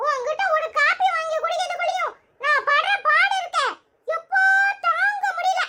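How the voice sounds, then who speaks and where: A cartoonish character voice, squeaky and extremely high in pitch. It moves at a fairly slow pace. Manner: cheeky, sarcastic, quick-tongued.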